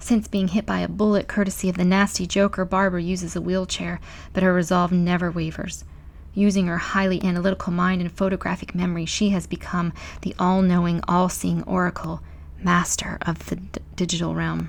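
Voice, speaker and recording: A woman talks softly at a fairly quick pace. The recording is very clean with a silent background. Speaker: ASMR channel host. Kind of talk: ASMR soft-spoken book reading, bedtime story style. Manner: soft-spoken.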